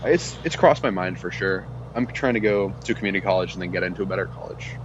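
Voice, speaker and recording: A man with an American accent, very deep and low in pitch, at a very fast pace with very wide pitch swings over noticeable background noise. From Texas. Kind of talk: casual chat.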